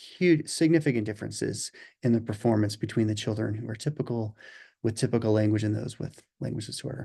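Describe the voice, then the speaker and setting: Against a quiet background, a man speaks with a dark, mellow tone. His pitch varies in an ordinary way. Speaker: language assessment researcher. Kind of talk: webinar presentation. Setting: webinar. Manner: fast.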